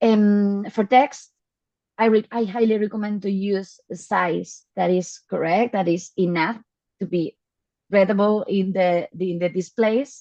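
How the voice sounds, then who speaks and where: The speaker has a Spanish accent and a dark, mellow tone. Delivery is fairly slow, with fairly even intonation. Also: woman, medium pitch for a woman. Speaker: data visualization specialist. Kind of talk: Q&A answers in online talk. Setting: online video meeting. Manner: halting.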